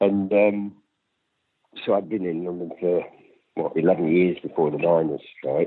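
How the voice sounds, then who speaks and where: A man talks with a Lancashire accent. His pace is moderate. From northern England, Lancashire (Accrington). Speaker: activist interviewee. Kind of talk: interview.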